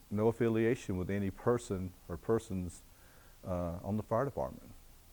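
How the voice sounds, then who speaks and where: His pitch is fairly low. This man has a Southern US accent. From US South, North Carolina (Greensboro area). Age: 60s. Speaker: retired fire captain. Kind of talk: oral history interview. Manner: halting, many fillers.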